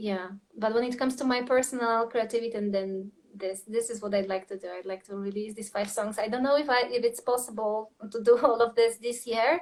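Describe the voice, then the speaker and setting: A woman with a Polish accent talks at a fairly quick pace using fairly even intonation. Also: fairly high pitch for a woman, big swings in loudness. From Poland. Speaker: singer-songwriter and creative coach. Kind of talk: interview conversation. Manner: halting, many fillers.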